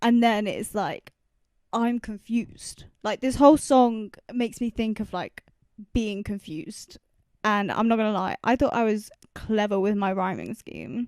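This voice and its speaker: A woman speaks at a fairly slow pace in an unremarkable speaking voice, pitched fairly high, with fairly even intonation. The sound is dry and close, with no echo. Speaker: independent music producer and artist. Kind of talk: casual production walkthrough.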